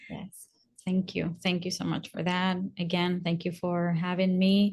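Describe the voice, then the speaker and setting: Against a quiet background, a woman with a Spanish accent speaks in a monotone, flat intonation. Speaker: naturopathic doctor. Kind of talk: interview.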